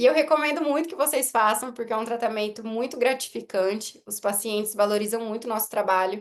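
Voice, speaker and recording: A woman with a plain, everyday voice speaks at a fairly quick pace in a fairly high pitch, with hardly any pauses, big swings in loudness and ordinary pitch variation over a quiet background. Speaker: orthodontist. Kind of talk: lecture.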